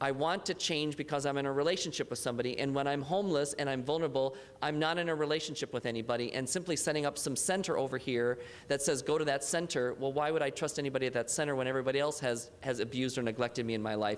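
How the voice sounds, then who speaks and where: At a very fast pace, a man with a fairly high pitch keeps his loudness very even. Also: ordinary pitch variation, hardly any pauses. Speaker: youth homelessness expert. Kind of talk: panel discussion remarks.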